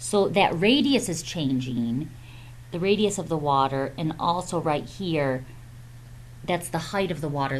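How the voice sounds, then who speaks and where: A woman speaks with a very deep, low pitch, vocal fry and lively intonation. Room echo can be heard. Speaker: math teacher. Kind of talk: tutorial. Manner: slow; hesitant, many fillers.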